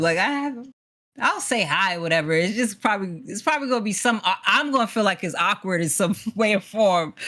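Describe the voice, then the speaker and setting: The intonation is lively. The speaker has a New York accent. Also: woman. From New York City. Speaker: esports producer and host. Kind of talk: casual interview.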